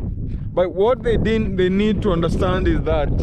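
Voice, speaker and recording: Over loud background noise, a man is speaking. His pace is moderate. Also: dry sound with no echo. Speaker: vlogger. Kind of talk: casual vlog chat. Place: open country. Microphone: phone near.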